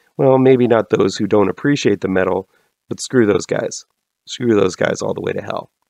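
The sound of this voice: A man puts on a character voice that is hoarse, gravelly and raspy. He sits at a medium pitch and talks at a moderate pace.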